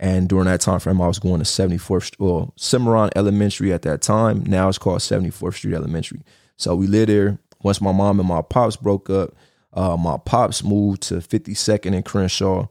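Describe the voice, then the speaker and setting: With a Los Angeles accent, a man speaks at a fairly quick pace with fairly low pitch and fairly even intonation, the sound dry and close with no echo and the recording very clean against a silent background. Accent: Los Angeles, slight East Coast tinge. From Los Angeles, California. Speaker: podcast host. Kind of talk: casual monologue, personal storytelling. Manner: casual, conversational, slangy.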